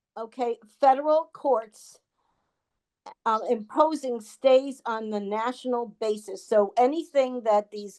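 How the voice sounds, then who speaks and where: A woman speaks in a high pitch with ordinary pitch variation. Her pace is fairly slow, and her tone is dark and mellow. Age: 70s. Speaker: wheelchair-using activist. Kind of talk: online town hall discussion.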